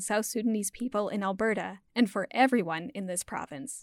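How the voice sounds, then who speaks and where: A woman with an unremarkable speaking voice and a Canadian accent, fairly high in pitch, at a moderate pace, in a very clean recording with a silent background and a dry, close sound with no echo. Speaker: podcast host. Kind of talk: scripted narration.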